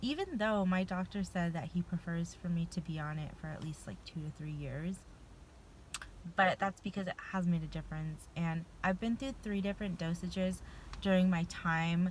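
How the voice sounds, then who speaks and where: This woman's voice is fairly low in pitch and somewhat breathy, with ordinary pitch variation. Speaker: vlogger sharing personal medication experience. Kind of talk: casual personal vlog. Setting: in a car. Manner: fast.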